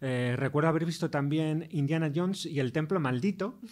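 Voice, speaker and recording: A man talks at a moderate pace. He has an ordinary speaking voice with ordinary pitch variation. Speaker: film critic and professor. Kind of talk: interview.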